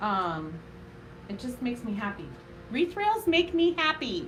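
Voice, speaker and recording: Loud and high-pitched, a woman talks at a moderate pace with very wide pitch swings while audible room echo surrounds her. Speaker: craft tutorial host, small business owner. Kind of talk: live craft tutorial. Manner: casual, chatty with filler words.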